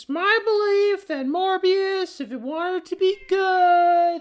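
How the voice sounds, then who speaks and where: Against a quiet background, a woman uses a squeaky put-on character voice at an extremely high pitch, speaking at a very slow pace. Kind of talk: parody fan rant. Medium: solo performance. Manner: rambling, hesitant, full of fillers.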